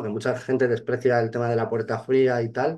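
This man's voice sits at a medium pitch. He talks fairly quickly. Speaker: real estate agent. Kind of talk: casual interview chat. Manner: halting, many repeated words.

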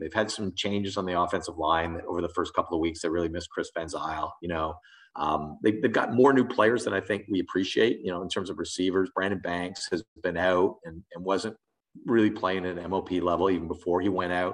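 A man with an Ontario accent talks at a fairly quick pace in a very deep, low voice with ordinary pitch variation. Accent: Canadian (Ontario). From Canada, Southern Ontario (Thornhill, Toronto area). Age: 50s. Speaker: sports journalist. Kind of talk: interview. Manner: halting, many fillers and repetitions.

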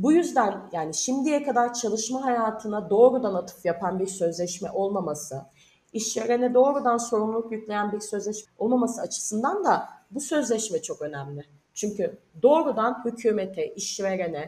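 At a moderate pace, a woman speaks with a fairly high pitch and a dark, mellow, somewhat breathy tone. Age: 30s. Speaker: union researcher. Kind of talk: interview.

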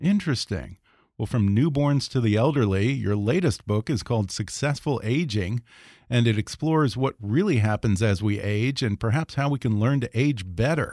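In a very clean recording with a silent background and a dry, close sound with no echo, a man with a normal speaking voice talks at a moderate pace and medium pitch, with lively intonation and very even loudness. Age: 40s. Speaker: podcast host. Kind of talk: interview.

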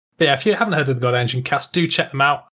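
Here is a man with a medium-pitched voice. He talks at a very fast pace. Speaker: podcast host. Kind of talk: casual chat about tabletop wargaming.

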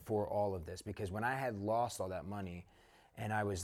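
In a plain, everyday voice, a man with an American accent speaks at a fairly low pitch with fairly even intonation, in a very clean recording with a silent background. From Newark, New Jersey. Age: 30s. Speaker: entrepreneur. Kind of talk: interview.

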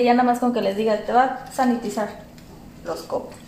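Amid audible room echo and noticeable background noise, a woman speaks at a fairly high pitch with ordinary pitch variation. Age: young. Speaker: podcast co-host, small business owner. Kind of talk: casual chat. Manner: hesitant.

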